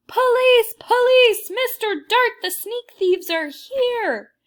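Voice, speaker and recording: A woman's put-on character voice, squeaky, loud and shouting at an extremely high pitch, at a fairly slow pace on a very clean recording with a silent background. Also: ordinary pitch variation. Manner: loud, terrifying shout.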